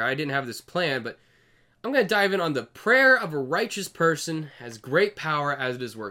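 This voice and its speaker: A man with a fairly high pitch and a bright, sharp tone talks at a moderate pace, his pitch swinging very widely. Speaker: video commentator. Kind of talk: solo video monologue. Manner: casual, conversational.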